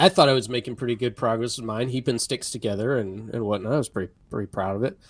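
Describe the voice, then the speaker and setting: Talking at a very fast pace, a man with a Kentucky accent keeps a medium pitch and ordinary pitch variation. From US South, Kentucky (Appalachian foothills). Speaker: developer advocate / live stream co-host. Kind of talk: casual chat.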